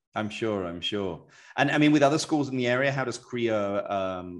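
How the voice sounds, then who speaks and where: Man with a British accent, lively intonation and moderate pace, quiet background. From England. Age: 40s. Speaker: real estate podcast host; podcast host. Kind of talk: casual interview chat; scripted outro. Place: office.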